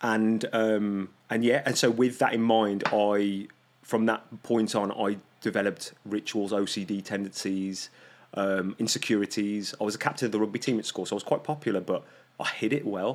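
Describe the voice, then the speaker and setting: At a moderate pace, a man with a British accent speaks at a fairly low pitch with fairly even intonation. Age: 30s. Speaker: holistic health coach and life mentor. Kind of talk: casual chat.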